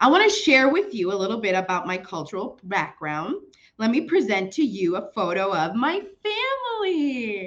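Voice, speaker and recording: A woman with a Spanish accent speaks at a fairly high pitch and fairly slow pace, with very wide pitch swings and long, frequent pauses. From Chicago, US Midwest. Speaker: children's librarian. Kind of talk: presentation.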